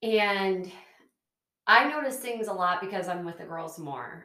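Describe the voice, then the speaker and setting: A woman with a plain, everyday voice, medium pitch and lively intonation. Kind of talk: casual chat.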